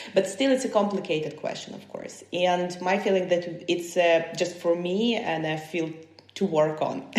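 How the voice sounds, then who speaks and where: A woman with a Ukrainian accent and fairly low pitch speaks at a moderate pace with ordinary pitch variation and big swings in loudness. Audible room echo and noticeable background noise surround her voice. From Ukraine, Kyiv. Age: 30s. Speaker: human rights defender. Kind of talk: podcast interview. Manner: halting.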